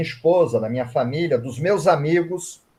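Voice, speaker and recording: A man talking fairly slowly, his pitch fairly high. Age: 60s. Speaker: writer and reiki teacher. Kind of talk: interview.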